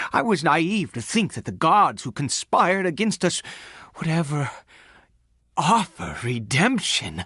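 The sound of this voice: Using a put-on character voice, a man speaks slowly at fairly high pitch, his bright, sharp tone carrying a slightly husky edge and big pitch swings.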